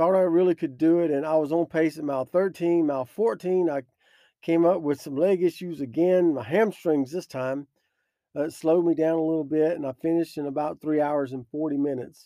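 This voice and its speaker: A man's fairly even-toned voice at a fairly quick pace. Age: 50s. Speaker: podcast host, devotional speaker. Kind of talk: devotional talk with personal story. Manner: hesitant, with frequent fillers.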